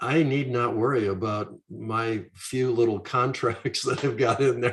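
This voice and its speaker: Somewhat breathy and medium in pitch, a man talks at a fairly slow pace with fairly even intonation. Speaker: retired money manager. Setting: live stream. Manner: laid back.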